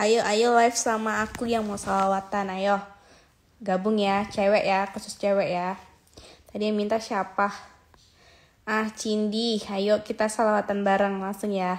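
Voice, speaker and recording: In a monotone, flat delivery, a woman speaks at a fairly slow pace. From Aceh, Indonesia. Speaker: social media celebrity; livestream host. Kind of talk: casual livestream chat with viewers. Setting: live video stream from home. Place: home room. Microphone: phone near.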